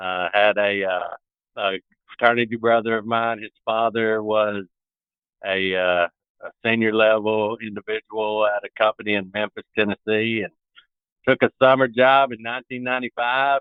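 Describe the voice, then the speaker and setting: A man in a Southern US accent speaks at a moderate pace in a fairly low, flat monotone, his loudness swinging widely. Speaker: broadband construction executive. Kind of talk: interview. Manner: halting.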